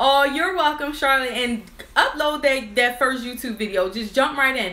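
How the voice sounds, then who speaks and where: Over noticeable background noise and audible room echo, a woman uses a raised, projected voice at a high pitch. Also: ordinary pitch variation. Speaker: nail business owner and YouTuber. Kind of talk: live stream chat. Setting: office with crew, live video. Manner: fast.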